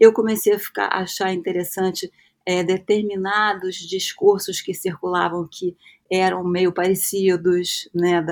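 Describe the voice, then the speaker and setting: Her pitch sits in the medium range for a woman. She speaks at a fairly slow pace in a flat monotone. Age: 60s. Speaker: psychoanalyst and university professor. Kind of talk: interview, personal recollection. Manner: hesitant, many fillers and repetitions.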